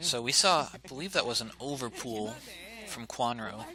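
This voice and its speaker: A soft-spoken man at a medium pitch, with noticeable background noise. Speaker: esports caster. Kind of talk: live commentary. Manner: halting.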